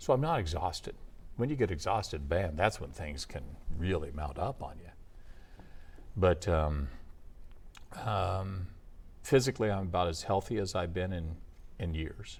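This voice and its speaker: A man's very deep, low-pitched, somewhat breathy voice at a moderate pace, with lively intonation and long, frequent pauses. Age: 60s. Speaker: former radio announcer. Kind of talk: interview. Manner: hesitant, many fillers.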